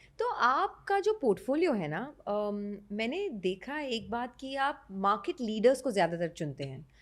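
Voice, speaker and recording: A woman with a non-native accent talks with hardly any pauses. Her fairly high voice swings very widely in pitch. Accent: non-native Hindi. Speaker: podcast host. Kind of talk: interview.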